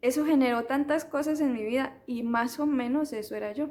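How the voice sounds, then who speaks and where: With a high pitch, a woman speaks with ordinary pitch variation. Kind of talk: personal testimony. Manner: halting, with repetitions.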